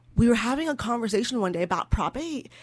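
In a very clean recording with a silent background, a woman with an American accent talks at a fairly quick pace in an ordinary speaking voice. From California. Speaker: interfaith community leader. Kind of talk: radio interview.

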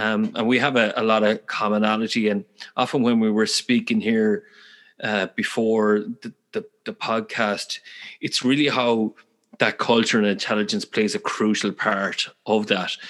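Delivered at a moderate pace, the speech has a Galway accent and monotone, flat intonation. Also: man, medium pitch for a man. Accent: Irish, Galway. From west of Ireland, Galway. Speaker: podcast host. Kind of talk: interview conversation.

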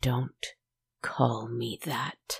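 In a put-on character voice, a man growls at medium pitch with a raspy sound. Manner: growling, bitter.

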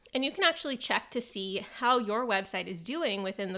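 On a very clean recording with a silent background, a woman speaks fairly quickly in a fairly high, bright, sharp voice with ordinary pitch variation. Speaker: podcast host for dietitians. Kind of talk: solo scripted podcast episode. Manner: planned, read-from-notes delivery; casual with laughs and fillers.

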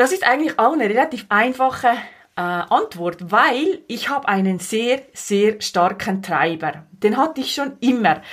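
Speaking at a fairly slow pace, a woman has a fairly high voice. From Switzerland, Valais. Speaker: podcast host, life coach. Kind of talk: monologue podcast introduction.

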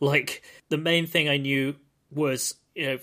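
In a very clean recording with a silent background, a man with a British accent talks in a fairly high, bright, sharp voice with fairly even intonation. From Britain. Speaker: podcast host. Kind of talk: casual chat.

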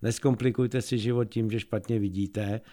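This man's voice is fairly low in pitch with monotone, flat intonation. His pace is moderate. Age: middle-aged or older. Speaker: eye doctor. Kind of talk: radio interview.

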